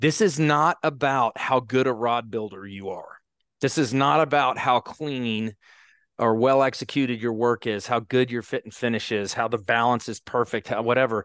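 A plain, everyday voice: a man at a medium pitch and moderate pace with ordinary pitch variation, dry and close with no echo, over a quiet background. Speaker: podcast host. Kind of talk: casual interview.

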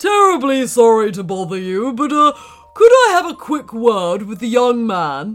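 Faint music plays behind a man doing a put-on character voice at an extremely high pitch and a moderate pace. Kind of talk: overly polite, posh. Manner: feigned politeness.

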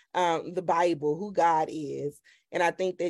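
This woman has an unremarkable speaking voice. Her pitch sits fairly low, and her intonation is fairly even. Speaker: podcast host and women's ministry leader. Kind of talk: casual interview chat. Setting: podcast recording.

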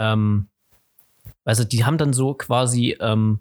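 Heard at a moderate pace, it is an ordinary speaking voice captured on a very clean recording with a silent background. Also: man. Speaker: podcast host. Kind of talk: casual chat.

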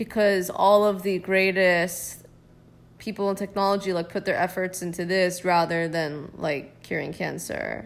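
The woman's voice sits at a medium pitch. She talks at a fairly slow pace. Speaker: podcast co-host. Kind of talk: casual chat. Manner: loud when opinionated.

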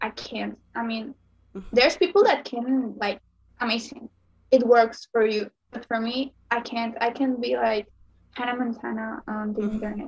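A woman with a Spanish accent talks at a fairly high pitch with fairly even intonation. Her loudness swings widely. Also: moderate pace. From Mexico, Sonora. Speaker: makeup content creator. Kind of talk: interview.

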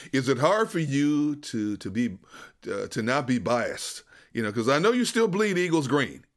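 A man with an American accent speaks at a moderate pace, his pitch fairly high and swinging very widely. The recording is very clean with a silent background. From Wisconsin. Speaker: sports podcast host. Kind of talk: casual sports interview.

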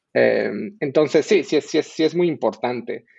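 This man talks fairly slowly. His voice sounds dry and close, without any echo. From Bolivia. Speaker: software engineering manager. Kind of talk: casual chat.

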